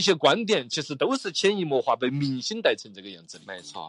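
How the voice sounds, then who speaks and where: A man talks in a Sichuan accent. His pace is fairly quick and his intonation lively. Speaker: radio host. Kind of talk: casual chat.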